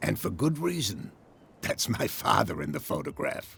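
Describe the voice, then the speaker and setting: Using a put-on character voice, a man speaks at a moderate pace in a raspy way. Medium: video game. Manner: proud, guarded.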